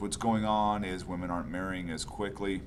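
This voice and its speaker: A man with a very deep, low pitch talks at a moderate pace amid audible room echo. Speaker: high school psychology teacher. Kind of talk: lecture. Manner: halting, many fillers.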